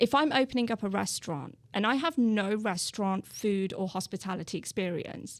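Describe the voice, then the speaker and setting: A woman with a British accent and a medium pitch talks at a moderate pace with lively intonation and hardly any pauses, on a very clean recording with a silent background. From England, Birmingham. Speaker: real estate agent. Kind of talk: podcast interview.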